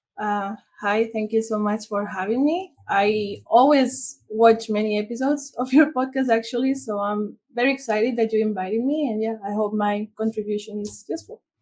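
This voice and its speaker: A woman with a Spanish accent talks at a moderate pace and fairly high pitch, somewhat breathy, with ordinary pitch variation and hardly any pauses. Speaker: international SEO consultant. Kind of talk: interview.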